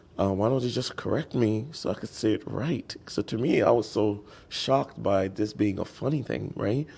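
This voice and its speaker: A man's fairly low, dark and mellow voice with vocal fry and an American accent, at a moderate pace with hardly any pauses and ordinary pitch variation. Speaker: interviewee. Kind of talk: casual interview chat. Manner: animated storytelling.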